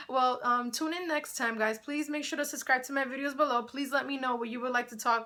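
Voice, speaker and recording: A woman talks in a raised, projected voice at high pitch with a bright, sharp tone. Her pace is fairly quick. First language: Spanish. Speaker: YouTuber, sports and entertainment commentator. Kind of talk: casual vlog commentary. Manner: conversational, animated.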